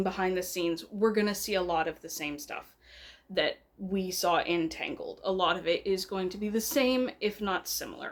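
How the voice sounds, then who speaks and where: A woman speaks at a moderate pace with ordinary pitch variation, recorded very cleanly against a silent background. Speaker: YouTuber, commentary channel. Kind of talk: casual vlog commentary. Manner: animated.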